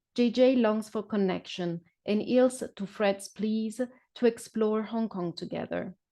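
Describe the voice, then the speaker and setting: A woman with a non-native accent speaks at a fairly slow pace in a fairly high voice. Her tone is dark and mellow, her intonation fairly even. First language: not English. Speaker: novelist. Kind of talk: reading aloud; casual chat. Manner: hesitant, many fillers.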